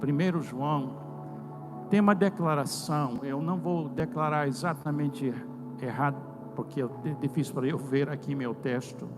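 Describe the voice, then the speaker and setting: With music in the background and audible room echo, a man speaks fairly slowly at a fairly high pitch, using ordinary pitch variation and long, frequent pauses. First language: English (speaking Portuguese). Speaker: preacher. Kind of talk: sermon. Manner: halting.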